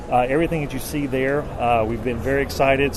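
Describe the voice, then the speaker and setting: An American accent with fairly even intonation, amid noticeable background noise and audible room echo. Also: man. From US South, North Carolina. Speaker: company representative. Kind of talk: product pitch. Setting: trade show floor.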